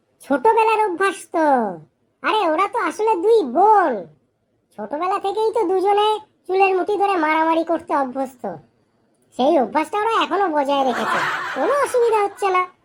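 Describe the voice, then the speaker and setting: An extremely high-pitched cartoonish character voice with a smug tone. It moves at a moderate pace. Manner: boastful, smug.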